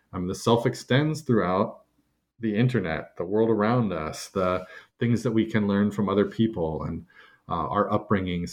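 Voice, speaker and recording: Against a quiet background, a man with an American accent speaks in a fairly low pitch with ordinary pitch variation. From California. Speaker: science fiction novelist. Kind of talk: interview about his book.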